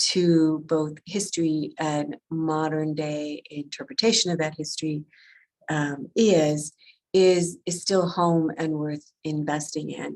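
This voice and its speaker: A woman speaks with an American accent at a very slow pace. Her pitch is very deep and low, and her intonation is fairly even. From Wisconsin, US Midwest. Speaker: history museum director. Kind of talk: presentation. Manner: halting, many fillers.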